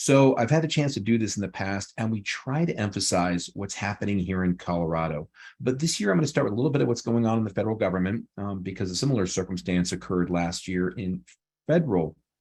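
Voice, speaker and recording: Over a quiet background, a man talks at a very fast pace with lively intonation and a fairly low pitch. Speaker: employment attorney. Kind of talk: webinar presentation.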